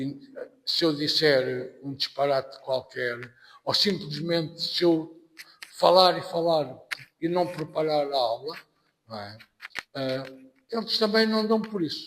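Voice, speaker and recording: A man with a European Portuguese accent, fairly high-pitched, very slow and full of long, frequent pauses, with lively intonation. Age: 60s. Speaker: anthropology professor. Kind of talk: podcast interview. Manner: halting.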